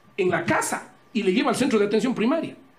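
With noticeable background noise behind him, a man talks at a fairly quick pace in an extremely high pitch with lively intonation. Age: 50s. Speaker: presidential candidate, politician. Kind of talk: interview. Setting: studio with camera. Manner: fast.

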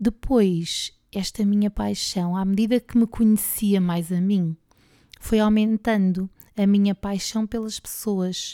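A woman with a European Portuguese accent speaks at a very slow pace in a medium pitch, her dark, mellow tone monotone and flat, with a dry, close sound and no echo. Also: very clean recording, silent background. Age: 40s. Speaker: podcast host and PE teacher. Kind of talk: personal monologue.

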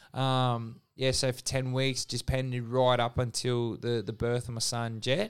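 With an Australian accent, a man speaks at a fairly slow pace and medium pitch in a monotone, flat intonation on a very clean recording with a silent background. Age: 30s. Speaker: gym owner. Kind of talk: casual interview, personal story.

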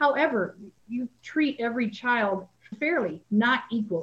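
Fairly high in pitch and somewhat breathy, a woman speaks with lively intonation. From Salinas, California. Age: 60s. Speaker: high school athletic director. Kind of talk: interview.

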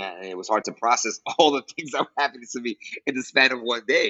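A man talks at a fairly quick pace. He has a New York accent. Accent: New York American English. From New York City. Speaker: teacher. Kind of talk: casual interview chat. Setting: call.

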